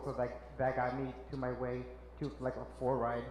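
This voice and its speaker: A man at a moderate pace with a Spanish accent, audible room echo and noticeable background noise. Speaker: social worker. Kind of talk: panel talk. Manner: halting.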